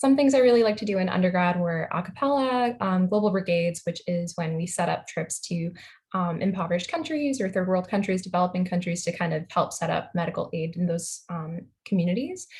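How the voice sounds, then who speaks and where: A somewhat breathy woman's voice with an American accent and ordinary pitch variation. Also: medium pitch for a woman, fairly quick pace. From Long Island, New York. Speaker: medical student. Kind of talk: video call introduction. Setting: video call.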